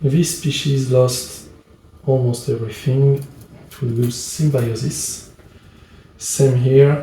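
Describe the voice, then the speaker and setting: Speaking very slowly with a French accent, a man has a fairly high pitch and a dark, mellow, somewhat breathy tone. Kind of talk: board game playthrough narration. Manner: hesitant.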